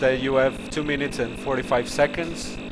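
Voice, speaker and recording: Amid noticeable background noise and audible room echo, a man with a medium pitch and ordinary pitch variation talks at a fairly quick pace. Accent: American. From Portugal. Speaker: stream host. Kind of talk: casual chat. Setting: live stream. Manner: halting.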